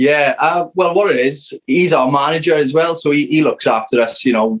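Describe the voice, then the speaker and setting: Speaking with a South Wales accent, a man uses a fairly high pitch and lively intonation at a moderate pace, his loudness very even. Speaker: rock band member. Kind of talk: casual interview chat. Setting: video call.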